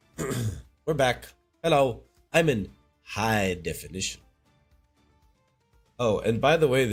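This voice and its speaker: Over background music, a man speaks fairly slowly at medium pitch with lively intonation. His pauses are long and frequent. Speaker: game streamer.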